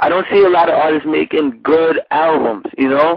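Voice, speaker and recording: A man speaks with a New York accent at a fairly high pitch. His intonation stays fairly even. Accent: New York Bronx. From New York, the Bronx. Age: young. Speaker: rapper. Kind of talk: casual interview.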